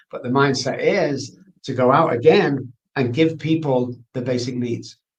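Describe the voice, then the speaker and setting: A man speaks in a fairly high pitch. His voice is somewhat breathy. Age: 60s. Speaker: addiction expert. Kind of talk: interview.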